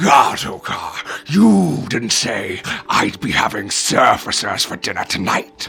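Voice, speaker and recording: A raspy, put-on character voice from a man, fairly low in pitch and fairly slow in pace. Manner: scary.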